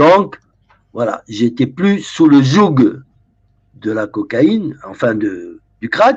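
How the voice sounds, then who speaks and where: With very wide pitch swings and long, frequent pauses, a man speaks very slowly at a fairly high pitch. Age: 70s. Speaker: former drug dealer and author. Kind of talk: interview. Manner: halting with repetitions.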